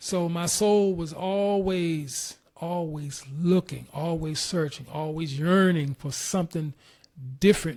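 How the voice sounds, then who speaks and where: Speaking very slowly with an American accent, a man uses a high pitch and fairly even intonation on a very clean recording with a silent background. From Washington DC. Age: 60s. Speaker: interview guest, retired graphic artist. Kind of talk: life story interview. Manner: halting, many fillers.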